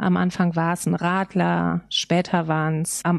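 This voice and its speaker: A woman speaks with a fairly low voice. The sound is dry and close, with no echo, and the background is quiet. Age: 40s. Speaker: photographer and designer in alcohol recovery. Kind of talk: interview about personal recovery.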